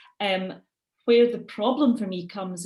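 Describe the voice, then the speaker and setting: A woman speaks at a moderate pace with ordinary pitch variation. Her voice is somewhat breathy. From Scotland. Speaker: education lecturer. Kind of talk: webinar presentation.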